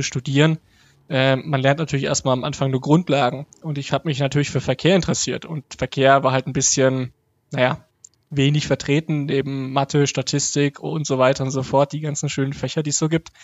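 A man's fairly high, flat monotone delivered at a fairly quick pace. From Germany, Hof (Upper Franconia, Bavaria). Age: 30s. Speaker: transport researcher and blogger. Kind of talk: interview. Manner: hesitant, many fillers.

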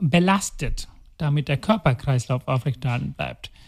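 The intonation is lively, and the sound is dry and close with no echo. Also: man. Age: 40s. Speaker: heart surgeon. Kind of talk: casual interview. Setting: recording in the city with helicopters and sirens outside.

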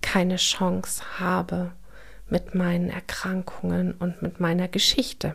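A somewhat breathy, medium-pitched female voice at a very slow pace. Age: 40s. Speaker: podcast host sharing her trauma experience. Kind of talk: personal monologue. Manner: hesitant, many filler sounds.

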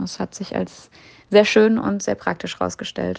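A woman's voice at a fairly slow pace. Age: 20s. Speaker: exchange student. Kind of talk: interview.

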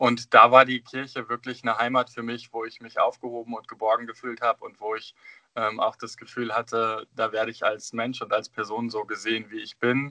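This man's voice has a bright, sharp tone and monotone, flat intonation, with big swings in loudness. He talks at a fairly quick pace, and the sound is dry and close with no echo. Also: medium pitch for a man. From northern Germany, Osnabrück area. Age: 30s. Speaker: drag performer and childminder, former deacon. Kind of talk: casual interview.

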